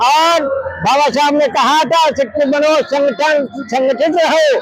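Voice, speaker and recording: A man with an extremely high pitch for a man speaks at very even loudness with ordinary pitch variation, over noticeable background noise. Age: 70s. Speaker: rally participant. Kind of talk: street interview.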